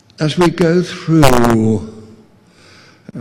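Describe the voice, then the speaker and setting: Lively intonation runs through the speech. Audible room echo can be heard. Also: man. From South Africa. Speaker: distinguished professor of urban studies. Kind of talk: closing remarks speech. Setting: conference podium with audience. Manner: halting, many fillers and repetitions.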